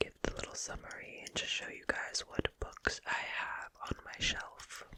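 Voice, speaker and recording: A woman is whispering. Noticeable noise sits in the background. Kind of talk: ASMR whisper reading. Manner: whispered, soft-spoken.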